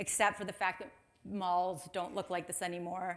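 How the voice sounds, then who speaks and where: Her tone bright and sharp, a woman speaks with a Chicago accent. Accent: American, Chicago. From US Midwest, Chicago. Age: 30s. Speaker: marketing executive, conference speaker. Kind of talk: conference talk. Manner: casual, chatty.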